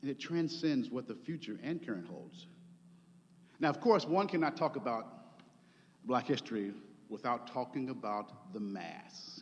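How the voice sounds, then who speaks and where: A man at a fairly slow pace, with very wide pitch swings, vocal fry and long, frequent pauses. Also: fairly high pitch for a man. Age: 50s. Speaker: preacher. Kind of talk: sermon.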